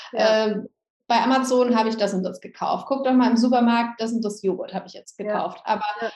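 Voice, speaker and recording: Somewhat breathy speech with fairly even intonation. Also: woman, fairly high pitch for a woman. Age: 30s. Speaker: yoga teacher and essential oils seller. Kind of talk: interview.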